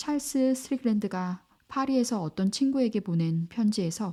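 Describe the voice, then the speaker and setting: Lively intonation and a dark, mellow tone come through at a moderate pace in a very clean recording with a silent background. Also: woman. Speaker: audiobook narrator. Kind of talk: audiobook reading of a classic novel. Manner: calm, soothing.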